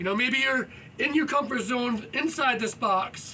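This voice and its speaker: Over noticeable background noise, a man with an extremely high pitch uses a raised, projected voice and an energetic tone, keeping a moderate pace and ordinary pitch variation. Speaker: yoga vlogger. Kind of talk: casual vlog monologue while exercising. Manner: loud.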